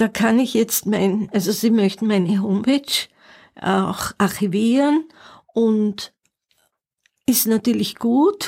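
At a very slow pace and with long, frequent pauses, a woman speaks in a fairly high, somewhat breathy voice. Her loudness stays very even. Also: ordinary pitch variation. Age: 70s. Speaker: pianist and music teacher. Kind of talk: interview. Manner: halting.

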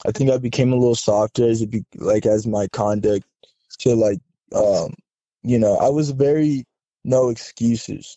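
At a moderate pace, a man with an American accent and a medium pitch speaks with fairly even intonation, very even loudness and long, frequent pauses. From US, Southern California. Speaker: army officer. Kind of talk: casual interview. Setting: phone call.

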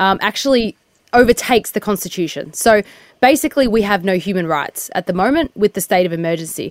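At a fairly quick pace, a woman with an Australian accent speaks in a dry, close sound with no echo. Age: 30s. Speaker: activist. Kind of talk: interview.

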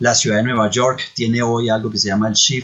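A man with a medium-pitched voice keeps to a moderate pace. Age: 40s. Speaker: tech entrepreneur. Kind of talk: interview. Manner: hesitant fillers.

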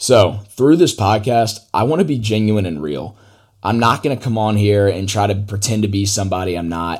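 Recorded very cleanly with a silent background, a man with a normal speaking voice talks at a moderate pace and a fairly low pitch, with ordinary pitch variation. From US South, Atlanta, Georgia. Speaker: podcast host. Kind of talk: solo podcast monologue.

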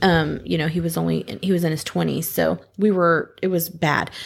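A woman speaks at a moderate pace in a normal speaking voice, fairly low in pitch with ordinary variation, on a very clean recording with a silent background. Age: 30s. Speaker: podcast guest sharing her experience with depression. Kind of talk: casual chat.

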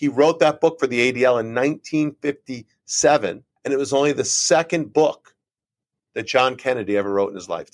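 In a Northeastern US accent, a man with a fairly high pitch and ordinary pitch variation speaks at a fairly quick pace, the sound dry and close with no echo. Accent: American, Northeast. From Connecticut, US (Trumbull). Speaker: nonprofit chief executive and author. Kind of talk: interview.

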